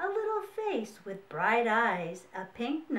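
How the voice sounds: The speaker reads aloud. The delivery is a natural reading voice.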